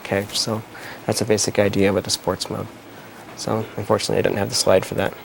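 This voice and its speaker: A man with a fairly low voice talks very fast over noticeable background noise. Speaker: photography teacher. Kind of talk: live class explanation. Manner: hesitant, casual.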